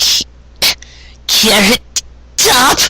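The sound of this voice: A put-on character voice with a bright, sharp tone and a slightly husky edge, very slow pace and ordinary pitch variation.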